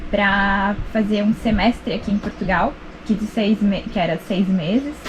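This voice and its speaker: At a moderate pace, a woman speaks at a medium pitch against noticeable background noise. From southern Brazil, Rio Grande do Sul (Serra Gaúcha). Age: 30s. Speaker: sailing channel co-host. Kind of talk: casual chat.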